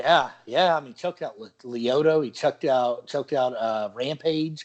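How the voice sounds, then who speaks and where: A plain, everyday voice: a man with an American accent, fairly high-pitched, at a moderate pace, with ordinary pitch variation and big swings in loudness. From Oklahoma. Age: 30s. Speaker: podcast host. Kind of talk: casual chat.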